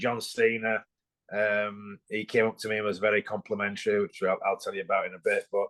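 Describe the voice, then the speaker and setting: A man talks at a moderate pace with an English accent. The sound is dry and close, with no echo. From England. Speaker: former bodybuilder and pro wrestler. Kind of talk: podcast interview.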